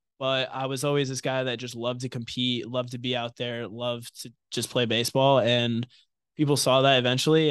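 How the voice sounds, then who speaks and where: A man with an American accent and an ordinary speaking voice talks at a fairly quick pace and medium pitch against a quiet background. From New York (Somers, Westchester County). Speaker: college baseball pitcher. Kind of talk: interview. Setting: studio.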